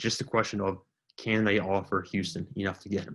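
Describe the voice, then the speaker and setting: A man is speaking. His voice is quiet. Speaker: sports YouTuber. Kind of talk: casual commentary to camera. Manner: getting quieter.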